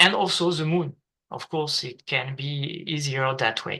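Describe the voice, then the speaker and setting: A man's fairly high voice, bright and sharp in tone, against a quiet background. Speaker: planetarium presenter. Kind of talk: online meeting presentation. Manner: halting, many filler sounds.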